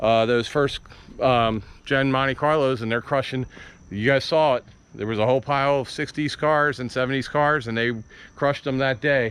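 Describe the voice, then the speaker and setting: A man with a normal speaking voice keeps fairly even intonation, a medium pitch and a moderate pace. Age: 50s. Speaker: car hobby YouTuber. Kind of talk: casual chat on video walkaround.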